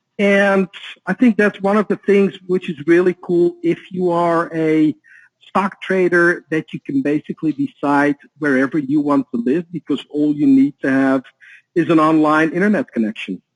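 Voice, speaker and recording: A man with a Dutch accent talks at a moderate pace and high pitch with lively intonation, the sound dry and close with no echo. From Netherlands. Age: 40s. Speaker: author and trading educator. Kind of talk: interview.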